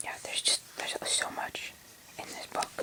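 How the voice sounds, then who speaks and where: A woman whispers, with noticeable background noise behind her. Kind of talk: casual talk to camera. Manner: whispered, soft-spoken.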